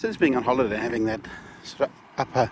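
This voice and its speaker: A man's voice amid noticeable background noise. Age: 60s. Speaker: vlogger. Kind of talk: casual vlog monologue. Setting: outdoors. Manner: halting.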